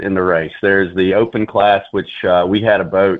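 A man speaks in a Southern US accent at a moderate pace. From Alabama, Mobile. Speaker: army veteran, nonprofit co-founder. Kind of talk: radio interview. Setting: phone call.

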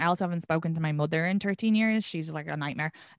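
A woman speaks with a fairly low pitch and an Irish accent, recorded with a dry, close sound with no echo against a quiet background. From Ireland. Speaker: comedian. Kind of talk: casual chat.

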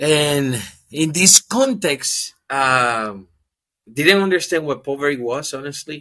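A man speaks with a Spanish accent at a very slow pace, his fairly high voice bright and sharp in tone. His pitch variation is ordinary. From Dominican Republic. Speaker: ministry worker. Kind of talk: testimony.

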